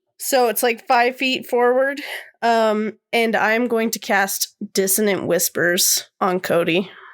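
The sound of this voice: The clip has an unforced reading voice over a quiet background.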